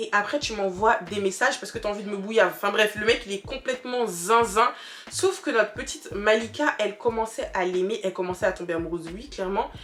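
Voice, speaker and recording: Noticeable background noise sits behind a woman's voice. She talks at a fairly quick pace with a fairly high pitch. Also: ordinary pitch variation. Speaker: YouTuber. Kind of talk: storytime. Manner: fast; animated.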